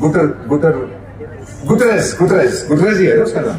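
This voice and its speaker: A man at a moderate pace with lively intonation, noticeable background noise and audible room echo. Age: 70s. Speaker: former diplomat. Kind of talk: keynote speech. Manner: animated.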